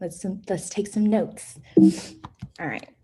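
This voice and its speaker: Speaking with an American accent, a woman uses a medium pitch and fairly even intonation. Her tone is dark and mellow, and somewhat breathy. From New York City, the Bronx. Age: 20s. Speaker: college student and environmental activist. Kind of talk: online presentation. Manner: casual.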